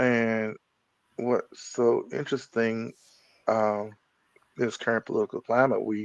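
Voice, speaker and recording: An American accent marks this man's speech, which sits at a medium pitch. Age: 60s. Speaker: podcast host. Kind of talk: interview. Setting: live video stream. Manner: halting.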